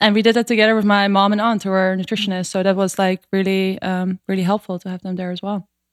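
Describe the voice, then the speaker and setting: A woman talks very fast at a medium pitch, monotone and with hardly any pauses. The recording is very clean, silent in the background, dry and close with no echo. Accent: Dutch. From Netherlands. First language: Dutch. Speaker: superfood company co-founder. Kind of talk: interview.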